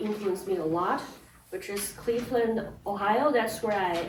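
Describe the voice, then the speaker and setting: A woman with a Chinese accent speaks at a moderate pace over noticeable background noise and audible room echo. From China. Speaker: pianist. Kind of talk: spoken narration. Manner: casual, with fillers and restarts.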